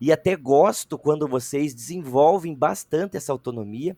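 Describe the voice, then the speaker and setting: A man with an unremarkable speaking voice talks at a fairly slow pace and fairly high pitch, with ordinary pitch variation. The sound is dry and close with no echo. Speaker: teacher trainer. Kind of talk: online training session.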